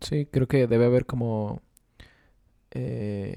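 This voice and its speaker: A man speaks in a dark, mellow tone with fairly even intonation, the sound dry and close with no echo. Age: 20s. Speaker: podcast co-host. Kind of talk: casual chat.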